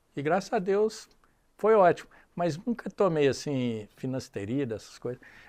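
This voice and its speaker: The man's fairly high voice swings very widely in pitch. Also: moderate pace, very clean recording, silent background. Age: 60s. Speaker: business executive. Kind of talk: casual chat.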